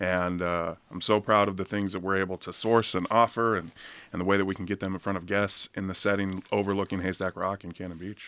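A very deep, low male voice with a bright, sharp tone, an American accent, monotone, flat intonation and a fairly quick pace, on a very clean recording with a silent background. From Oregon coast, Seaside. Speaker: chef. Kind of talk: radio interview. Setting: studio.

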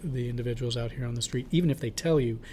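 A man's very fast, somewhat breathy delivery with an American accent and fairly even intonation. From Portland, Oregon. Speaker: homeless services director. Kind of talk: interview. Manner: halting.

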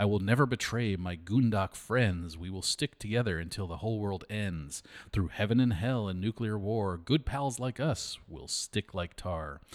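This man has an unremarkable speaking voice. His pitch variation is ordinary. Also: fairly low pitch for a man, moderate pace, hardly any pauses. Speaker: historical society director and podcast host. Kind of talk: casual chat.

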